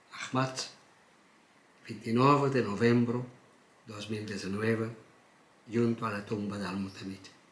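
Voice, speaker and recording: A man of medium pitch speaks in a Portuguese accent at a fairly slow pace, with long, frequent pauses and big swings in loudness. Noticeable background noise and audible room echo fill the recording. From Portugal, Algarve. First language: Portuguese (speaking Spanish). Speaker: poet. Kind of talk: reading aloud own poem; interview. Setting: at his home.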